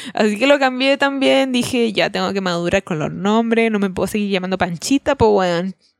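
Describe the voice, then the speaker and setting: A woman with a Chilean accent speaks at a medium pitch with lively intonation, at a fairly quick pace with hardly any pauses. The sound is dry and close with no echo. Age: 20s. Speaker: podcast co-host. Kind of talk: casual chat.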